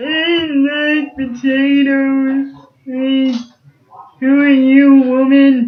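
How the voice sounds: A man puts on a character voice at an extremely high pitch. He speaks at a very slow pace with monotone, flat intonation.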